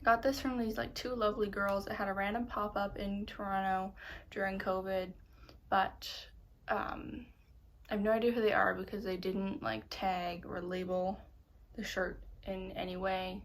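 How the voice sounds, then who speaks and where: Woman at medium pitch with fairly even intonation, a moderate pace, long, frequent pauses and audible room echo. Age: 20s. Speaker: knitting podcaster. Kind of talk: casual chat. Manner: hesitant, with pauses.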